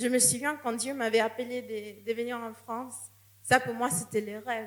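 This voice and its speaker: Audible room echo surrounds a woman with a non-native accent, her pitch fairly high and her intonation fairly even. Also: moderate pace. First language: not French (speaking French). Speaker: missionary. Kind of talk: sermon. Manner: halting, with repetitions.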